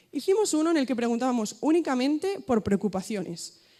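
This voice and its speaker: A woman speaks in a dark, mellow tone, her pitch swinging very widely. The recording is very clean with a silent background. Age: 20s. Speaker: student association leader. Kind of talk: conference talk. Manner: fast.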